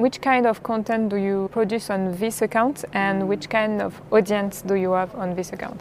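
With a French accent, a woman speaks at a moderate pace and medium pitch, her intonation fairly even, over noticeable background noise. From France. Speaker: podcast host and sports content creator. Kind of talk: interview.

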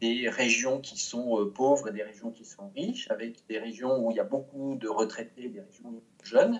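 A man talking at a moderate pace. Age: 50s. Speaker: change management consultant and coach. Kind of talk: interview. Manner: hesitant, with frequent fillers.

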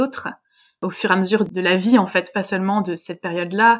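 A woman's fairly quick speech comes through a very clean recording over a silent background. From France, Vosges. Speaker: French and drama teacher. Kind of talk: interview testimony. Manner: hesitant.

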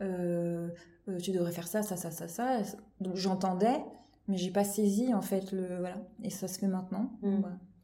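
A woman's medium-pitched voice, fairly slow and fairly even in intonation, with long, frequent pauses and audible room echo. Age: 30s. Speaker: children's creative drawing teacher. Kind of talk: casual chat. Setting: at the host's home. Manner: halting.

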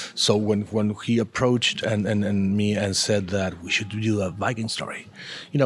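Over noticeable background noise, a man with an Argentine accent speaks at a moderate pace and a fairly low pitch. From Argentina. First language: Spanish. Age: 40s. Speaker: comic book artist. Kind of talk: interview. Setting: comics festival. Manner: halting.

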